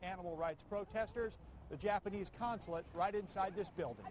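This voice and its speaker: Over light background noise, a man speaks with a high pitch. The sound is dry with no echo. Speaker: TV news reporter. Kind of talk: news report stand-up. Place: street.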